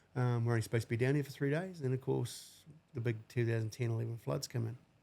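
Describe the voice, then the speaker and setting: A man with a New Zealand accent talks at a very fast pace, somewhat breathy, with a medium pitch and ordinary pitch variation. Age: 40s. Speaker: civil construction worker. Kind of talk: podcast interview answer. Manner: casual.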